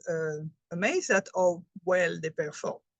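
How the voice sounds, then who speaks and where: In a French accent, a woman speaks with fairly even intonation in a dry, close sound with no echo. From France. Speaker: health presenter, chemist. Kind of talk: presentation.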